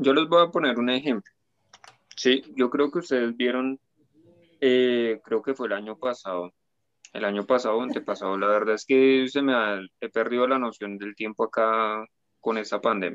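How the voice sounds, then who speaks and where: With long, frequent pauses, a man talks at a moderate pace, his medium pitch varying in an ordinary way. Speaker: guest. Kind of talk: casual chat.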